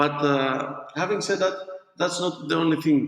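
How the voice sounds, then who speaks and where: Speaking with a non-native accent, the speaker moves at a fairly slow pace with ordinary pitch variation. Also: man. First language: not English. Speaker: board game designer. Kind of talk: interview. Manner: halting.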